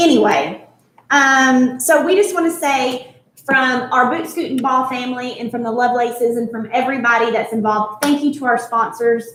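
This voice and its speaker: With audible room echo, a woman speaks at a high pitch and a moderate pace, her pitch varying in an ordinary way. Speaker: charity event host. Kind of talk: live-streamed charity event presentation. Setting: resort venue, live stream.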